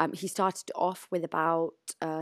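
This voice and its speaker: In a British accent, a woman talks at a fairly low pitch with monotone, flat intonation, the sound dry and close with no echo in a very clean recording against a silent background. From UK. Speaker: charity director. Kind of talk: interview. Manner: hesitant, many fillers.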